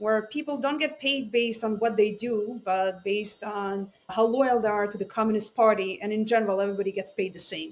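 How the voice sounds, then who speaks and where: The tempo is rather brisk. A non-native accent comes through. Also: woman. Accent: noticeable foreign. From Israel, born in Ukraine. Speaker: AI scientist and startup founder. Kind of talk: podcast interview. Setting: remote call.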